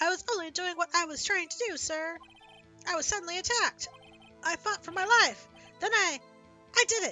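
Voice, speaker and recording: A woman does a squeaky put-on character voice at a fairly quick pace, broken by long, frequent pauses, with clear music in the background. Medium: game stream. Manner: eager, says sir constantly.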